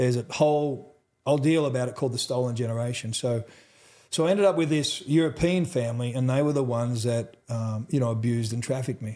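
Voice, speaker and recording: A man with an Australian accent at a very fast pace, medium in pitch with ordinary pitch variation and a dark, mellow tone, on a very clean recording with a silent background. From central Australia. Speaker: trauma recovery expert. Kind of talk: interview testimony. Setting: live at a conference.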